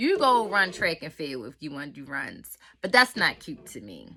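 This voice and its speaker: A woman's animated, bright, sharp voice with very wide pitch swings and vocal fry, at a moderate pace, on a very clean recording with a silent background. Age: 30s. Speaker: YouTuber reviewing a TV show. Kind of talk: casual vlog review.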